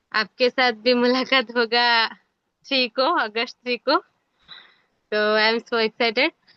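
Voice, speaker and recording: A woman's high voice with a non-native accent, fairly even intonation and long, frequent pauses. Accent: non-native Hindi. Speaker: MLM distributor. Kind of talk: testimony. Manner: halting.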